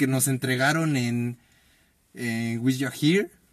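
A man's ordinary speaking voice, medium in pitch, at a fairly slow pace with ordinary pitch variation. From Mexico, Guanajuato. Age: 20s. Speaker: podcast co-host. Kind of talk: casual chat.

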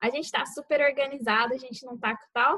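A high-pitched woman speaks at a fairly quick pace. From Brazil, Mato Grosso do Sul. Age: 20s. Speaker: medical student, podcast co-host. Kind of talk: casual chat.

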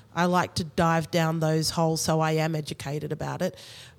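A woman with an Australian accent talks at a fairly quick pace in a very deep, low voice. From Australia (Sydney). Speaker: dancer, director and choreographer. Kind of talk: interview.

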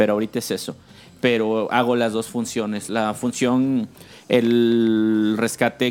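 The intonation is monotone and flat, on a very clean recording with a silent background. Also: man. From Mexico City. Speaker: air rescue paramedic. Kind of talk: interview.

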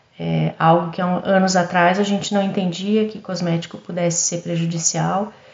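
Over noticeable background noise, a woman speaks at a fairly slow pace and medium pitch with monotone, flat intonation. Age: 50s. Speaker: pharmacist and cosmetics entrepreneur. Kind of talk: podcast interview testimony. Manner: halting, repeats words.

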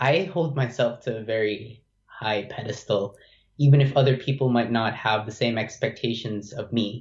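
A somewhat breathy man at medium pitch, moderate pace, and ordinary pitch variation. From Philippines. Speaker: university student. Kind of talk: casual interview.

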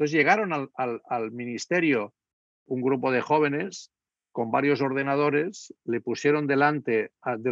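Here a man talks at a medium pitch. His pace is fairly slow. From Spain. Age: 60s. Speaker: political scientist. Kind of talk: lecture. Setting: video call. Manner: halting.

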